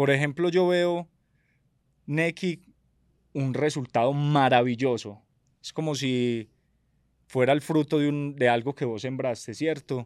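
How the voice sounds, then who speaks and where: Recorded dry and close with no echo and a silent background, a man with a fairly high pitch and ordinary pitch variation speaks at a fairly slow pace with long, frequent pauses. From Medellín, Colombia. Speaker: entrepreneur and reality show winner. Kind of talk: casual interview conversation.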